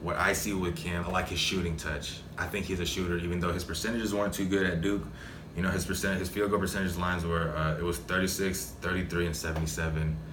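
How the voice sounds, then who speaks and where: Amid noticeable background noise and audible room echo, a man with an American accent and a very deep, low pitch speaks at a fairly quick pace with fairly even intonation. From Dallas-Fort Worth, Texas. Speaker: podcast host and professional basketball player. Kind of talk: solo sports analysis monologue. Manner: casual, with fillers and repetitions.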